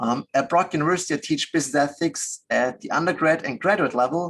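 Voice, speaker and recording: A man with a fairly high voice and an Austrian accent, talking at a very fast clip. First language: German. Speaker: business ethics professor. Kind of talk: webinar interview.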